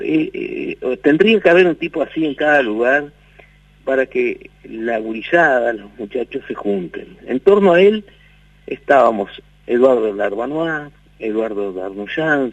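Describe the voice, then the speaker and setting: The man's pitch is fairly high, and he talks at a fairly slow pace. His voice rises and falls very widely. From Tacuarembó, Uruguay. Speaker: singer, guitarist and music teacher. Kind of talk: radio interview answer.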